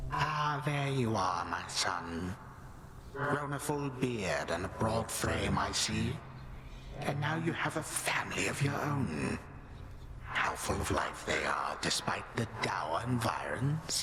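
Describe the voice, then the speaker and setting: Through loud background noise, a man uses a put-on character voice at a medium pitch and a fairly slow pace. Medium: machinima. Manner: mocking, condescending.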